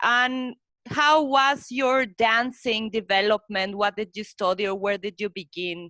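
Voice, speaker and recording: A woman with a Spanish accent speaks at a fairly slow pace in a fairly high voice with ordinary pitch variation and a bright, sharp tone, recorded dry and close with no echo. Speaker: interviewer. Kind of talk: interview.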